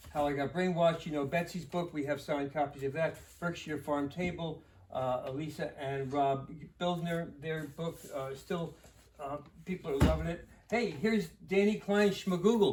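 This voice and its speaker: A fairly high male voice, its pitch varying in an ordinary way. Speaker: bookstore owner. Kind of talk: book recommendations. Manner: fast; halting.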